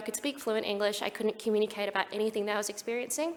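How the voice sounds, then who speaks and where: Amid noticeable background noise, a woman with an Australian accent speaks in a fairly high, monotone voice with flat intonation. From Australia (Perth). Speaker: speaker with lived experience of suicide, mental health professional. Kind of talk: conference talk.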